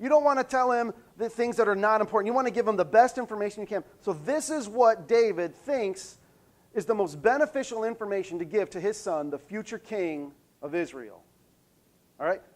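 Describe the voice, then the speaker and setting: Lively intonation at a fairly quick pace in a very clean recording with a silent background. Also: man, high pitch for a man. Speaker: pastor. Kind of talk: sermon. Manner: fast.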